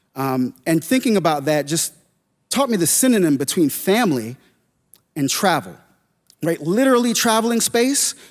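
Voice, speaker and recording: On a very clean recording with a silent background, a man with a high pitch makes very wide pitch swings at very even loudness, keeping a moderate pace with long, frequent pauses. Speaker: spoken word poet. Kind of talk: stage talk introducing a spoken word piece.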